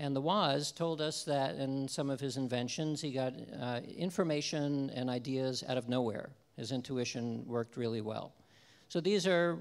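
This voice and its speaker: Here a man talks at a moderate pace. His pitch varies an ordinary amount. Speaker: lecturer. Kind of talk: lecture. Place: stage. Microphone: handheld.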